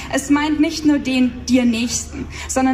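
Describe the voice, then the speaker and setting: A woman with an Austrian accent at a very slow pace, over light background noise. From Austria, Salzburg region. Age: 20s. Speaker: poetry slammer. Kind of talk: poetry slam performance. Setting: live stage, audience. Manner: mix of standard German and dialect. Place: stage.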